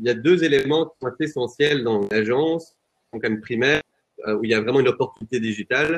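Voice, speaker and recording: With a normal speaking voice, this man keeps a moderate tempo, a medium pitch, and ordinary rises and falls in pitch. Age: 20s. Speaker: real estate software company employee. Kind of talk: webinar panel discussion.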